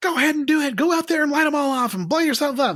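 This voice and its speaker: A man talks very fast in a put-on character voice pitched extremely high. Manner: scolding, sarcastic.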